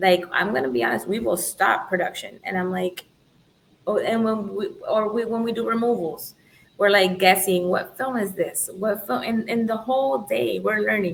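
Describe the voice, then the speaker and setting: A woman speaks in a Spanish accent at a moderate pace. Her pitch is medium and her intonation lively. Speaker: tint shop owner. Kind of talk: podcast interview.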